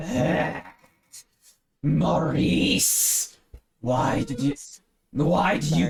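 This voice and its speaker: Growling in a put-on character voice of fairly high pitch, a man speaks at a very slow pace with long, frequent pauses. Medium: actual play. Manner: haughty, imperious.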